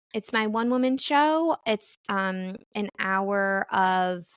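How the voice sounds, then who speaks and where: This woman's medium-pitched voice carries a Midwestern accent, recorded dry and close with no echo in a very clean take with a silent background. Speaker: comedian and podcast host. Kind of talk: casual chat.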